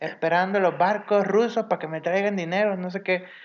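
A high-pitched man at a moderate pace, with fairly even intonation. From Mexico, Sinaloa. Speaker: podcast co-host. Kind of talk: casual chat.

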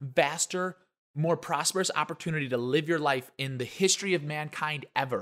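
On a very clean recording with a silent background, a man speaks in an animated tone at a fairly high pitch and moderate pace, with ordinary pitch variation. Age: 20s. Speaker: podcast co-host. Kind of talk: casual chat.

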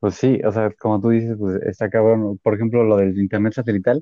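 The speaker is a man with a medium pitch. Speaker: podcast co-host. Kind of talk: casual chat. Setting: online call.

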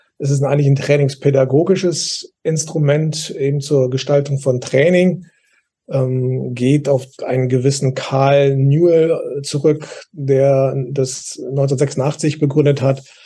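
The voice is somewhat breathy and dark and mellow, with very even loudness. It moves at a very slow pace in a monotone, flat intonation. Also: man, fairly high pitch for a man. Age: 60s. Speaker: youth football and basketball coach educator. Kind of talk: casual expert discussion.

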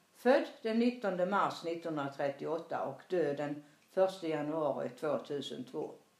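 A woman speaks with a Småland accent, her pitch fairly low and her intonation lively. Noticeable background noise runs underneath. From Småland, Sweden. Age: 80s+. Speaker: grandmother telling her life story. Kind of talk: reading aloud. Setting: in her apartment.

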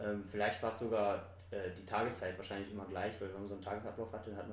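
A man speaks very fast at a fairly low pitch. Noticeable background noise and audible room echo fill the recording. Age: 20s. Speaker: podcast guest. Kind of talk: casual chat. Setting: apartment recording.

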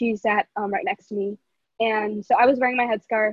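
This woman has a normal speaking voice and an American accent, pitched fairly high. She keeps a moderate pace with fairly even intonation. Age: 18. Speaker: student activist, school alum. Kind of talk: casual chat.

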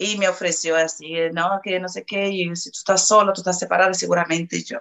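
A woman's medium-pitched voice with a Portuguese accent. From Brazil, Salvador de Bahía. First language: Portuguese (speaking Spanish). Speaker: interview guest, hotel worker. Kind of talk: interview, personal testimony.

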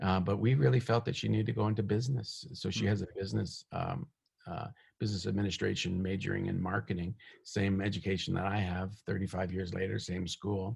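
The speech moves at a fairly quick pace, with vocal fry throughout. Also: man, very deep, low pitch for a man, ordinary pitch variation. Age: 50s. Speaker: minister. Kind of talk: sermon; casual chat. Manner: halting.

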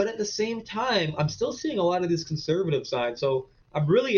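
Lively intonation marks this man's speech in an Ontario accent. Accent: rural Ontario Canadian. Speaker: small business owner. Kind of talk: casual interview.

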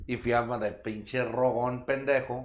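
A man with a Mexican accent talks at a medium pitch. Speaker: podcast co-host. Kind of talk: casual chat. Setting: live stream.

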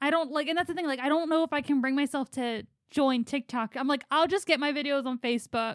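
A woman with an American accent talks very fast at a high pitch with ordinary pitch variation, the sound dry and close with no echo. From US Philadelphia. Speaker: podcast host.

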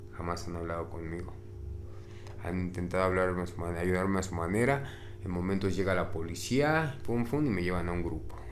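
Audible room echo surrounds a man talking at a moderate pace in a very deep, low pitch with ordinary pitch variation. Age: 40s. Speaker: recovering addict. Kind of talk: interview testimony.

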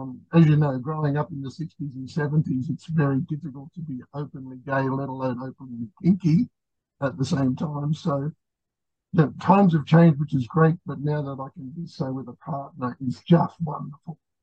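A somewhat breathy man with an Australian accent, fairly high-pitched yet dark and mellow in tone, at a moderate pace with big swings in loudness, in a dry, close sound with no echo. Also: fairly even intonation. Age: 60s. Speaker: podcast guest, pup community member. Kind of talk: casual interview chat. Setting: video call.

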